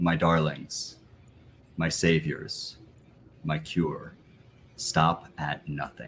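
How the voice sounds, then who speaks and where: In a put-on character voice, a man speaks very slowly with a very deep, low pitch and monotone, flat intonation, leaving long, frequent pauses. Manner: agonized, pleading.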